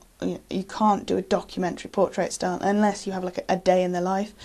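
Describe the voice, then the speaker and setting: A woman with a British accent. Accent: English (UK). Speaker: photographer. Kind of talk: casual self-introduction to camera. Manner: halting, many fillers.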